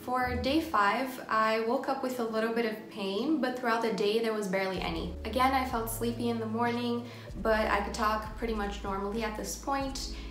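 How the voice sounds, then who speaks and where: Room echo is audible, with light background noise behind a woman. She talks at a moderate pace with hardly any pauses. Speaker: vlogger. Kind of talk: casual talk to camera. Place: home room. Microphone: phone near.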